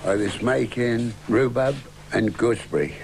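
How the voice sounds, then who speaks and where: Noticeable background noise sits behind the speech. A man speaks at a fairly slow pace. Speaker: farmer and hedgelayer. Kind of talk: casual talk to camera.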